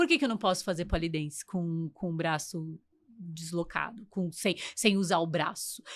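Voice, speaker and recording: Over a silent background on a very clean recording, a woman talks at a moderate pace. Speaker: podcast host and English teacher. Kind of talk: casual interview chat. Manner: talkative.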